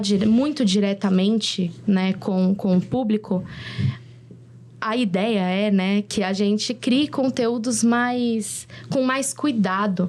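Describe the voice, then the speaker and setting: A woman speaks at a very slow pace. Her fairly high pitch shows ordinary pitch variation. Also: very even loudness. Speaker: content creator and influencer. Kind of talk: videocast panel discussion. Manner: halting, many fillers and restarts.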